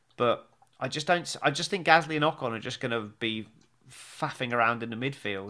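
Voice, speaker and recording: The recording is very clean, with a silent background. A man with an English accent speaks in a bright, sharp tone with lively intonation. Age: 40s. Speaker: podcast host and stage actor. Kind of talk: casual chat. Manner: animated.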